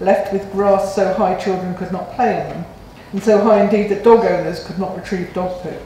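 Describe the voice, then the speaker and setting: Amid audible room echo and light background noise, a woman talks at a fairly quick pace. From England. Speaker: local councillor. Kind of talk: council meeting debate. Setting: council chamber. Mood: critical, frustrated. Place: meeting room. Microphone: podium.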